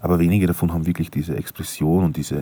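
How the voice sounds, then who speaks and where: In a Styrian accent, a man speaks with a very deep, low pitch, a dark, mellow tone, vocal fry and fairly even intonation. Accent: Austrian German, Styrian. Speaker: podcaster. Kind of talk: casual monologue. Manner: halting, many fillers.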